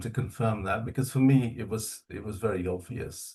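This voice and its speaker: Man at a medium pitch, somewhat breathy, moderate pace, quiet background. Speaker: spiritual community member sharing experiences. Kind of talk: testimony. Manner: calm.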